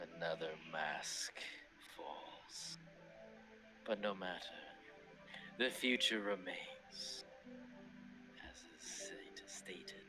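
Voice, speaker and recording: Clear music plays behind a man doing a gruff, put-on character voice at a fairly low pitch. He goes at a very slow pace with long, frequent pauses. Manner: ominous, grandiose.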